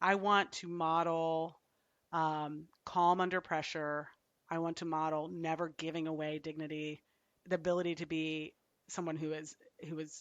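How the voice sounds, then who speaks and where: A woman's fairly low voice, flat and monotone, at a moderate pace. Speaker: psychologist. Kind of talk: casual chat. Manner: loud.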